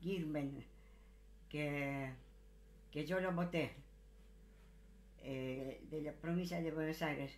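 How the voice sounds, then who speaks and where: A woman speaks in a very deep, low pitch with fairly even intonation. Her pace is very slow, broken by long, frequent pauses. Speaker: elderly woman leaving a message. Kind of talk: recorded personal message to a politician. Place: home room. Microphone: phone near.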